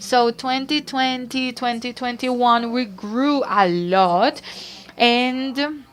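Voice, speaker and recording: A woman with a Barranquilla Colombian accent speaks at a fairly high pitch with ordinary pitch variation. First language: Spanish. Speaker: startup co-founder, panelist. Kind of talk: panel discussion.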